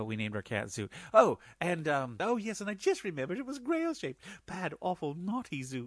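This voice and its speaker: Over a quiet background, a high-pitched man talks at a fairly quick pace with very wide pitch swings. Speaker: podcast listener. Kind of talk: recorded listener message. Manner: excitable.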